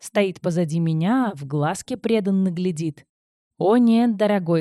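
The surroundings are quiet. Plain reading aloud moves with ordinary pitch variation.

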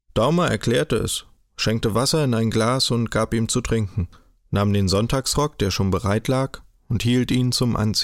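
The text is read aloud in a natural voice. Ordinary pitch variation runs through it.

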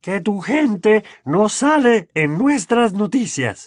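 In a very clean recording with a silent background, a man puts on a high-pitched character voice, speaking slowly with big pitch swings.

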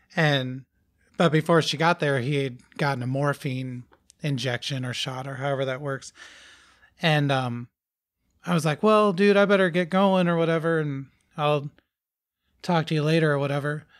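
Over a very clean recording with a silent background, a man speaks at a moderate pace and fairly high pitch, with ordinary pitch variation and long, frequent pauses. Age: 40s. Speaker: musician. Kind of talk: casual chat. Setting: recorded at a house.

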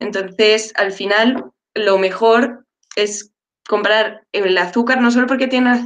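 A woman with a fairly high pitch and ordinary pitch variation talks in a normal speaking voice. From Madrid, Spain. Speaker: dietitian-nutritionist. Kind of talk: panel discussion.

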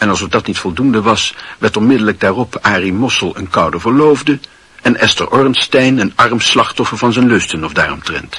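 A man uses a put-on character voice, fairly low-pitched with a husky, rough edge and a fairly bright tone. He talks at a moderate pace with lively intonation.

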